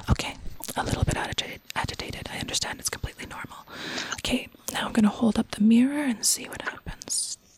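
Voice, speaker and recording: Someone is whispering at a moderate pace. Noticeable background noise runs underneath. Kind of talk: scripted role-play performance, a therapist guiding a patient through an odd test. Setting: live radio performance in a studio.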